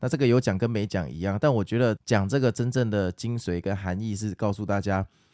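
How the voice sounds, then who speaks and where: A man with a Taiwanese accent, fairly low pitch and a dark, mellow tone at a fairly quick pace, on a very clean recording with a silent background and a dry, close sound with no echo. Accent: Taiwanese Mandarin. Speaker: stock market podcaster. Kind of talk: casual market commentary and listener Q&A.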